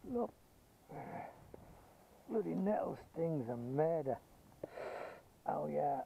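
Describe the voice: A man's fairly high, slow voice with a slightly husky edge and vocal fry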